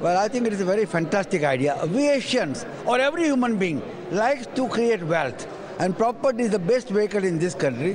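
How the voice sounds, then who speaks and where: Through noticeable background noise, a high-pitched man talks at a fairly quick pace, his loudness very even while his pitch swings very widely. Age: 70s. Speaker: community leader. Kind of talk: interview. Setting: property exhibition hall.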